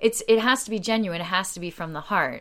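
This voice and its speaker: A woman with an American accent speaks in a bright, sharp tone with ordinary pitch variation. The recording is very clean, with a silent background. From US, Delaware County outside Philadelphia. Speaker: community group founder. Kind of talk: interview conversation. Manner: loud; talkative, laughs often.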